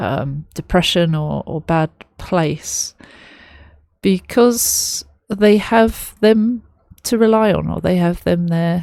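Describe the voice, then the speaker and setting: A woman with a London accent speaks in a dark, mellow tone with ordinary pitch variation. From London, England. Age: 30s. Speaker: music reaction youtuber. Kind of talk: reaction video commentary. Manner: halting, many fillers.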